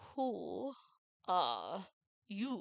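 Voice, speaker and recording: This is a put-on character voice at a middle pitch. The words come out in a drawl. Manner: drawling, unhurried.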